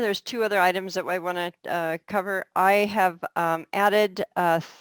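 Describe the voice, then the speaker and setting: A woman with an American accent speaks in fairly even intonation. The recording is very clean, with a silent background. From California. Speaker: open source project lead. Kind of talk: project meeting. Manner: halting, many fillers.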